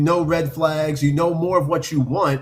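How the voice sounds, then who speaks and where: A man speaks with a fairly high pitch. He has a normal speaking voice. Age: 40s. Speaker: podcast host. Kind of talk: casual chat.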